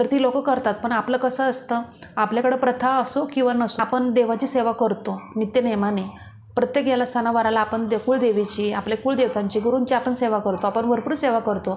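Against noticeable background noise, a woman speaks at a high pitch with monotone, flat intonation and very even loudness. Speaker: devotional YouTuber. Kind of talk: religious tutorial. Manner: informal.

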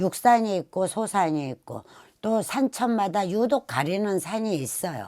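At a fairly slow pace, a woman speaks in a medium pitch with a dark, mellow tone in a very clean recording with a silent background. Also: lively intonation. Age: old. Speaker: shaman fortune teller. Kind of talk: casual talk to camera.

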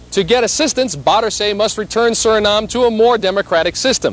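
This man's voice sits high and moves at a fairly quick pace. His tone is serious. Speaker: TV news reporter. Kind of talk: 1980s TV news report narration. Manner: formal, measured, steady broadcast delivery; authoritative, even-paced, serious.

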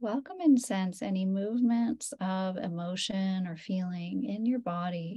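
A woman speaks in a normal speaking voice at medium pitch, moving at a fairly slow pace with hardly any pauses. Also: ordinary pitch variation. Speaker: meditation teacher. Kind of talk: guided meditation, calm and unhurried, leading a yoga nidra class. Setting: video call. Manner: soft-spoken.

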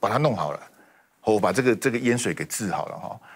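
Against a quiet background, a man with vocal fry speaks at a fairly quick pace. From Taiwan. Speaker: political commentator. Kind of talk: TV panel debate. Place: studio. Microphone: lapel.

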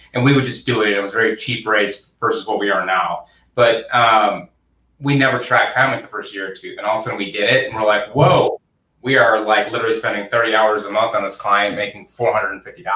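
Audible room echo surrounds a man of medium pitch who talks at a fairly quick pace with fairly even intonation. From Michigan, US. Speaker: accounting firm founder; guest. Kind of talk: interview. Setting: video call. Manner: hesitant with many fillers. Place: office. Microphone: video call.

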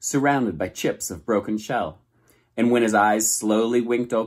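In an unforced reading voice, the speaker keeps fairly even intonation against a quiet background.

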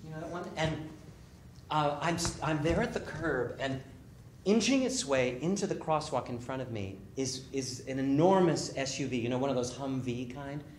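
In a room with audible echo and light background noise, a man speaks at a moderate pace with ordinary pitch variation. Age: 50s. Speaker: author. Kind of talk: storytelling performance. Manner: animated. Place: stage.

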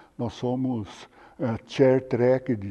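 A man's medium-pitched voice, dark and mellow in tone, at a very slow pace. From Brazil, São Paulo state (Rio Claro). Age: 70s. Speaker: anatomy professor. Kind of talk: interview testimony.

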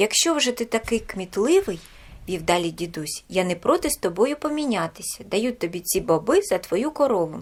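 Natural-voiced reading aloud

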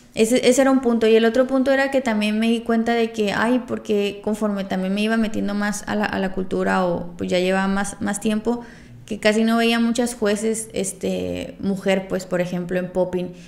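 At a moderate pace with hardly any pauses, a woman speaks in an unremarkable speaking voice, medium in pitch and fairly even in intonation. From Veracruz and Tijuana, Mexico. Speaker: popping dancer and podcast co-host. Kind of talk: casual chat.

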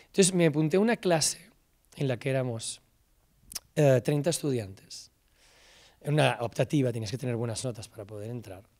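A man with a Castilian accent speaks at a fairly quick pace with lively intonation, big swings in loudness and long, frequent pauses, over a quiet background. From Spain, Salamanca; Spain. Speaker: film director and screenwriter. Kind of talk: talk to students. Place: stage. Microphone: handheld.

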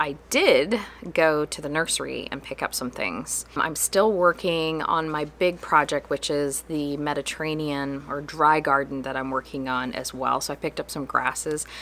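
At a moderate pace over light background noise, a woman speaks in a very deep, low pitch with ordinary pitch variation. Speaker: farm host. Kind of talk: casual vlog chat. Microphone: phone near.

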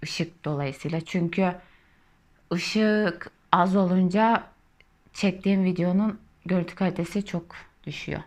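At a very slow pace with long, frequent pauses, a woman speaks at medium pitch with fairly even intonation. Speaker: knitting YouTuber. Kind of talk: casual chat while crocheting. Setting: at home.

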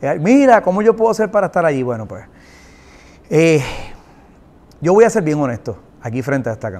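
The speech moves at a fairly quick pace, with very wide pitch swings and big swings in loudness. Long, frequent pauses break it up. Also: man, fairly high pitch for a man. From Puerto Rico. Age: 40s. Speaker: singer-songwriter and producer; guest. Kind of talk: interview. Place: studio.

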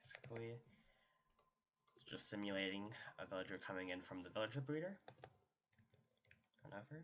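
A quiet man mumbles at a fairly quick pace, with lively intonation and big swings in loudness. Long pauses come often. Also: fairly low pitch for a man. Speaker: Minecraft tutorial YouTuber. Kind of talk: casual gaming tutorial narration. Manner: quiet, somewhat mumbling.

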